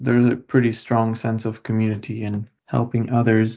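This man speaks with a Lithuanian accent. His pitch is medium. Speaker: university student. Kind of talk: casual interview.

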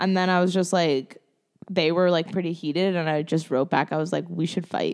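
On a very clean recording with a silent background, a woman in a plain, everyday voice speaks at a moderate pace, fairly low in pitch with ordinary pitch variation. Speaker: guest. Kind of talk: casual chat.

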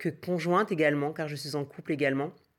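A woman's very deep, low pitch in a monotone, flat intonation at a moderate pace. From French Antilles (Martinique and Guadeloupe). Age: 30s. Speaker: activist mother giving testimony. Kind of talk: recorded testimony.

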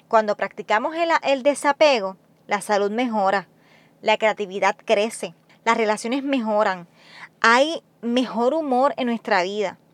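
Fairly high in pitch, a woman speaks fairly slowly with ordinary pitch variation, recorded dry and close with no echo. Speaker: nurse and podcast host. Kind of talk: solo motivational monologue. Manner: talkative, conversational.

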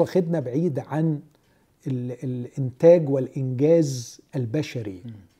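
Somewhat breathy, a man's dark, mellow voice on a very clean recording with a silent background. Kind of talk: religious discussion.

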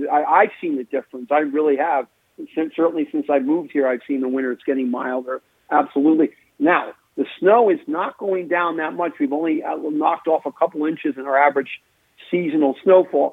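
A man with an ordinary speaking voice talks at a fairly quick pace, fairly high in pitch for a man, with ordinary pitch variation. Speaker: retired meteorologist. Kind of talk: casual interview.

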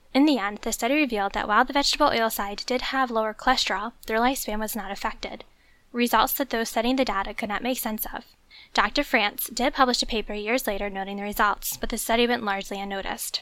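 On a very clean recording with a silent background, a woman talks at a very fast pace in a fairly high pitch with a bright, sharp tone. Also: fairly even intonation. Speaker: archivist. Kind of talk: scripted podcast segment.

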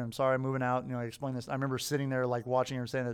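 A man is talking. His pitch is in the medium range. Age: middle-aged. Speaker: podcast host. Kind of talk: casual chat.

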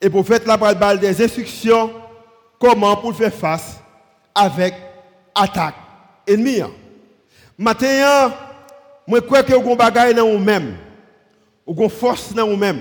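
The speaker keeps a moderate pace with long, frequent pauses. Pitch varies in an ordinary way. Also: man, high pitch for a man. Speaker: pastor. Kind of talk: sermon.

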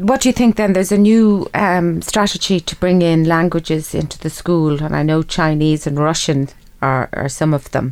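A woman with an Irish accent talks at a moderate pace with hardly any pauses. Her pitch is fairly low, with ordinary variation. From Ireland. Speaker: radio host. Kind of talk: interview. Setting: studio.

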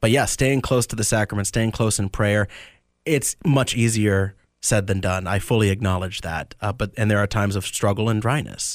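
In a very clean recording with a silent background, a man with an American accent and an unremarkable speaking voice talks at a fairly quick pace and a fairly low pitch. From Tampa area, Florida. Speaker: deacon about to be ordained priest. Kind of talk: radio interview.

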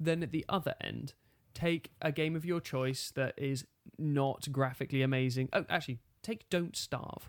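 A plain, everyday voice from a fairly high-pitched man, at a moderate pace with ordinary pitch variation, on a very clean recording with a silent background. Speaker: podcast host. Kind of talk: casual banter chat. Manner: joking, teasing.

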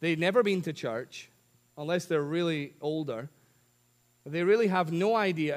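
This man speaks with a Scottish accent and ordinary pitch variation. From Scotland. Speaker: preacher. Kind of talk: sermon. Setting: church. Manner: humorous.

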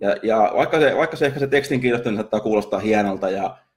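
Speech rushes by at a very fast pace, with ordinary pitch variation. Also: man. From Finland. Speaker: marketing podcaster and copywriter. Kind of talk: casual solo podcast monologue. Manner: halting, many fillers and repetitions.

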